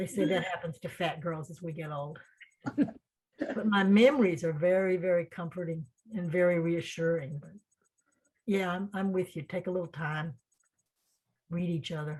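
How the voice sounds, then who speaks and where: A somewhat breathy woman speaks at a fairly low pitch, with big swings in loudness and long, frequent pauses. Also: ordinary pitch variation, moderate pace. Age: 70s. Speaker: writer. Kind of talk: casual chat. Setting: video call. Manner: animated.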